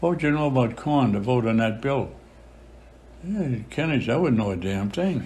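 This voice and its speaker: A medium-pitched, somewhat breathy male voice with an American accent, lively intonation and very even loudness. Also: moderate pace. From Charlestown, Massachusetts. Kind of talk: interview answer.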